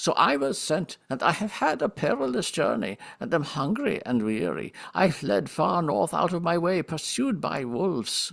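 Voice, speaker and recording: Using a put-on character voice, a man speaks in a whiny, fairly high pitch with very wide pitch swings, at a moderate pace with hardly any pauses. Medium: read story. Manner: whining.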